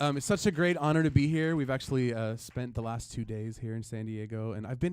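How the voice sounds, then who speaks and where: A man with an American accent, medium pitch and ordinary pitch variation, at a fairly quick pace. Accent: sounds American. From US (moved from Sweden at age three). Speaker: singer-songwriter. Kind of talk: on-stage talk between songs. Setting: radio studio live session.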